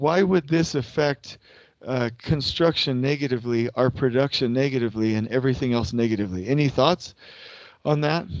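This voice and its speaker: The voice keeps very even loudness and ordinary pitch variation. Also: man, medium pitch for a man. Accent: American. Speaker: construction scheduling consultant. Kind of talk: lecture. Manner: slow; interactive, asks audience questions.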